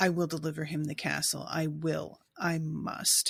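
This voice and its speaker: A woman puts on a raspy character voice at a very deep, low pitch, moving at a moderate pace. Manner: desperate, pleading.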